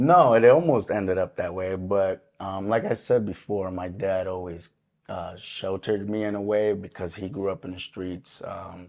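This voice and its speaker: The man's voice is fairly low, moving along at a moderate pace. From Puerto Rico and the Bronx, New York City. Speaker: army veteran, recovery group leader. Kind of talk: interview testimony. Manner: hesitant, many fillers.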